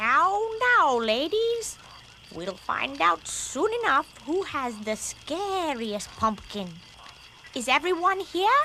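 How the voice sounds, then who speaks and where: A cartoonish, female-sounding character voice, high-pitched with very wide pitch swings, at a very slow pace over clear background noise. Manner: authoritative, orderly.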